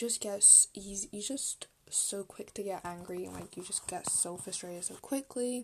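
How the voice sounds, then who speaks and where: Speaking at a moderate pace, a woman uses a medium pitch, somewhat breathy, with ordinary pitch variation. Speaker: podcast host. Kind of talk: solo podcast monologue. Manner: casual, filler-heavy.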